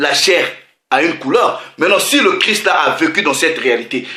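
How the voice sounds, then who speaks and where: Using a raised, projected voice, a man speaks with lively intonation in a bright, sharp tone. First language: not French (speaking French). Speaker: religious preacher. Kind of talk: sermon.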